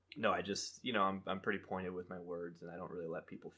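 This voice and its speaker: A man is speaking. His pace is very fast. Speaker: podcast host. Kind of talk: casual chat.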